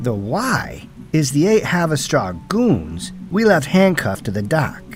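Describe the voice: Over faint music in the background, a man does a put-on character voice at a fairly high pitch, slow in pace with very wide pitch swings.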